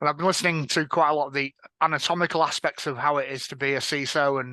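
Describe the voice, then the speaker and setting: A man with an Edinburgh accent speaks at a very fast pace, his pitch fairly high. His tone is bright and sharp, and his intonation stays fairly even. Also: quiet background. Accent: Scottish (Edinburgh). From Scotland, Edinburgh. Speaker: panel moderator, information security director. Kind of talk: panel discussion moderation. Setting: stage with audience at a conference.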